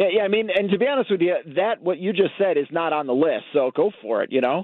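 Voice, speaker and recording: This man speaks at a very fast pace with hardly any pauses. His intonation is lively and his loudness stays very even. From Chicago. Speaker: toy expert correspondent. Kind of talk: radio interview. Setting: phone call.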